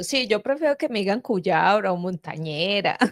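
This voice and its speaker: A woman talks with lively intonation. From Quindío, Colombia. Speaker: channel host. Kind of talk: casual chat.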